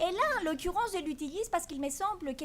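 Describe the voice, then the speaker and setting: A woman is speaking. Her pitch swings very widely. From Greece. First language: Greek (speaking French). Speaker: law professor. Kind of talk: conference talk. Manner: hesitant, many fillers.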